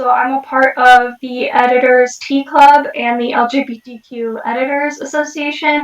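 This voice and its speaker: At a fairly slow pace, the speaker talks with an American accent and ordinary pitch variation. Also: woman. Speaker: freelance editor and poet. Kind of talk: interview. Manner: hesitant, many fillers.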